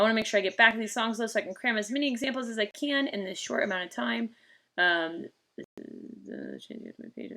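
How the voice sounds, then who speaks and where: A woman talks at a very fast pace with a bright, sharp tone, vocal fry, and big swings in loudness. Her pitch is fairly high, with ordinary pitch variation. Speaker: guitar teacher. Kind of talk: live-streamed guitar lesson.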